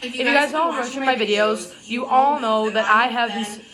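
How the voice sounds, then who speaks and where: Amid noticeable background noise and audible room echo, a woman with a fairly high pitch speaks with lively intonation. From Wisconsin, US Upper Midwest. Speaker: vlogger. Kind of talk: casual vlog rant. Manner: animated.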